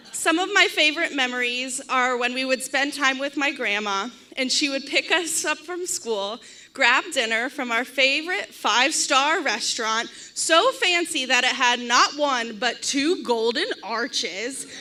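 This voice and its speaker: A woman with a high pitch speaks at a fairly slow pace in a raised, projected voice with lively intonation, against noticeable background noise. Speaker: bride's sister giving a toast. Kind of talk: wedding toast speech. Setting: wedding reception with audience, microphone. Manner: loud.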